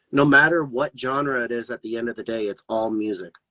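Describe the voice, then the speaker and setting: The voice is bright and sharp, in an American accent, at a fairly quick pace. The sound is dry and close, with no echo. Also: man. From Colorado, near Denver. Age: 20s. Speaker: rapper. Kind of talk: casual interview chat. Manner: animated.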